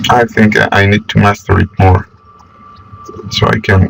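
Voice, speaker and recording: A man's very slow, fairly even-toned speech over noticeable background noise. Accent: non-native. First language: not English. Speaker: manga artist. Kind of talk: unscripted drawing commentary. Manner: halting, many fillers.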